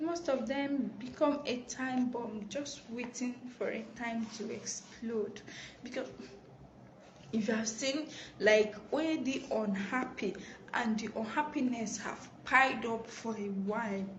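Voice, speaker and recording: Speaking quietly at a very slow pace, a woman with a fairly high pitch talks in a Nigerian accent. Audible room echo and noticeable background noise fill the recording. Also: ordinary pitch variation. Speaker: live stream host. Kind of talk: live stream talk. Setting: office. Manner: quiet, subdued.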